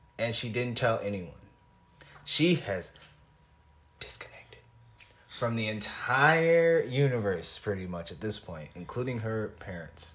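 With an American accent, a man speaks with very wide pitch swings, big swings in loudness and long, frequent pauses, and the room echo is audible. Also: medium pitch for a man, fairly slow pace. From US Midwest, Illinois. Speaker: podcast co-host. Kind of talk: casual chat.

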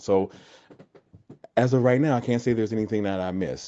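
A man speaks with an American accent and a dark, mellow tone. His pitch moves with ordinary variation. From New Jersey. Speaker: podcast guest, friend of host. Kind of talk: personal testimony. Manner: halting.

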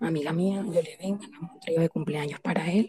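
A woman with a coastal Colombian accent speaks at a fairly low pitch, with ordinary rise and fall. The sound is dry and close with no echo, and background noise is noticeable. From Colombian Caribbean coast, Santa Marta. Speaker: participant sharing experience. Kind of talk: personal story in live chat.

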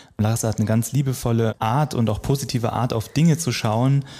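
Over a very clean recording with a silent background, a man speaks at a fairly quick pace in a medium pitch, his tone dark and mellow, somewhat breathy, with fairly even intonation. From eastern Germany. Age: 30s. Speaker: radio worker. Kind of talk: interview.

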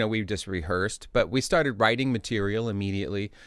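A man with an American accent and an unremarkable speaking voice speaks at a fairly low pitch with ordinary pitch variation, in a very clean recording with a silent background. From Indianapolis, Indiana, US Midwest. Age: 50s. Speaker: musician and music lecturer. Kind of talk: interview. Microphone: sounds good; host's voice bleeds into his recording.

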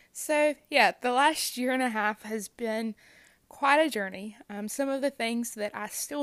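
In a plain, everyday voice, a woman speaks at a fairly high pitch and a fairly slow pace with ordinary pitch variation, in a very clean recording with a silent background. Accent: American. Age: 20s. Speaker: youth minister and cancer survivor. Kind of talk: personal testimony. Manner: frequent laughs and fillers.

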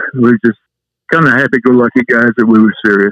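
A Southwest US accent comes through at a moderate pace in a dry, close sound with no echo. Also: man. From New Mexico. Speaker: retired high school coach. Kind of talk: interview. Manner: halting.

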